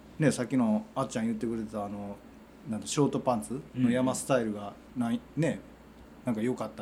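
A man talks at a very fast pace in a Kansai accent. His loudness swings widely. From Wakayama, Japan. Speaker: hiking group leader and construction site foreman. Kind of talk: casual chat.

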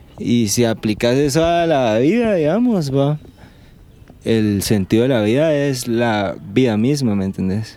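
Lively intonation from a man at medium pitch, dark and mellow in tone, fairly slow in pace and very even in loudness. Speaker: podcast host. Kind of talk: casual chat. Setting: outdoors.

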